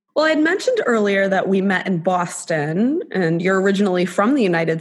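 Lively in intonation, a woman talks at a moderate pace with a plain, everyday voice and a medium pitch. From South Florida. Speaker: podcast co-host.

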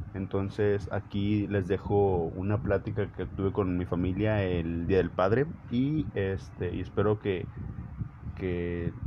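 Through noticeable background noise, a man speaks at a very slow pace with a fairly low pitch. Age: 20s. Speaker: podcaster. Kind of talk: monologue intro; casual chat. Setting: at home with family. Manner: halting.

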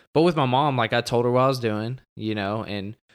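The recording is very clean with a silent background, and a man talks at a fairly quick pace. He has a plain, everyday voice of medium pitch with ordinary pitch variation. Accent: American. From Texas. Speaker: football coach. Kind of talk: casual chat.

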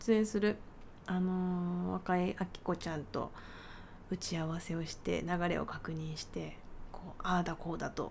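In a relaxed tone, a woman speaks at a fairly slow pace and fairly low pitch with monotone, flat intonation. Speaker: pianist and podcast host. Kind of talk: casual solo talk. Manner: relaxed, leisurely.

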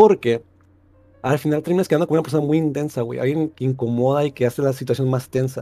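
This man's voice has a dark, mellow tone, a fairly high pitch and fairly even intonation. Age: 20s. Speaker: caller. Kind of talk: casual chat.

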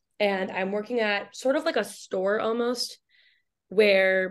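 A woman with an American accent speaks in a plain, everyday voice at a medium pitch, her intonation fairly even against a quiet background. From Michigan, US Midwest. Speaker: writer and journalist. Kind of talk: interview. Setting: video call.

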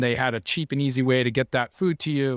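A man with a Californian accent speaks at a medium pitch with fairly even intonation. The recording is very clean with a silent background and a dry, close sound with no echo. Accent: Californian American. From Southern California, Laguna Beach. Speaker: environmental nonprofit leader. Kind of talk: interview.

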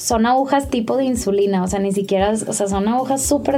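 At a very fast pace, a woman with a fairly high pitch and lively intonation talks through noticeable background noise and audible room echo. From Mexico. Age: 20s. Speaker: image consultant and digital media director. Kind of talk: personal testimony in casual interview.

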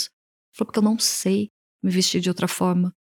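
Here a woman speaks at a very fast pace. The sound is dry and close, with no echo. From Brazil, Piracicaba, interior of São Paulo state. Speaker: image and style consultant. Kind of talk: casual interview.

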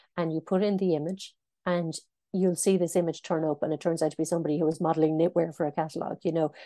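A woman with an Irish accent, fairly low in pitch, very fast, dark and mellow in tone, monotone and flat, over a quiet background. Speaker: news editor. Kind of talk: interview.

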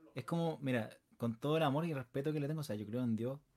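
Fairly high in pitch yet dark and mellow in tone, a man's voice moves at a very fast pace with fairly even intonation. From Chile, Puente Alto (Santiago). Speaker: singer. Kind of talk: interview.

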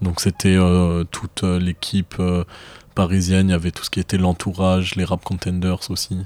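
In a dry, close sound with no echo, a man speaks at a moderate pace with a very deep, low pitch and monotone, flat intonation. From Marseille, southern France. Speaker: rapper and student. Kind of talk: casual interview. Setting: at the guest's home.

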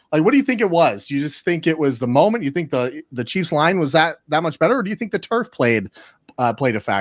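A man with a fairly high pitch, very wide pitch swings and vocal fry, talking at a very fast pace, in a dry, close sound with no echo. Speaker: sports podcast co-host. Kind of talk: casual chat.

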